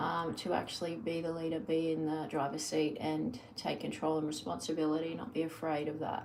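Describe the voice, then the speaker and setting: Speaking with an Australian accent, a woman with a very deep, low pitch talks at a fairly quick pace with hardly any pauses and fairly even intonation over noticeable background noise. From Australia, New South Wales. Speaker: lifestyle vlogger. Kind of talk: casual live-stream monologue. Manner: rambling with many fillers.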